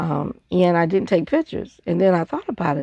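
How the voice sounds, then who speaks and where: A woman at a medium pitch speaks with lively intonation, her voice dry and close with no echo against a quiet background. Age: 60s. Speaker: scrapbooker, craft video maker. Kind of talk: casual craft show-and-tell. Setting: home craft desk with audiobook playing.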